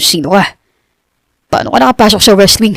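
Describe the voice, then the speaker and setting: A woman puts on a raspy character voice at a medium pitch. She talks at a moderate pace. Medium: read story. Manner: cold, curt.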